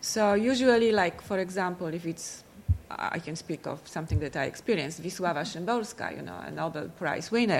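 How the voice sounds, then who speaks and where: A woman with a Polish accent and vocal fry, at a moderate pace. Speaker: panel moderator and translator. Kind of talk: panel moderation and discussion. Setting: stage with audience at a library.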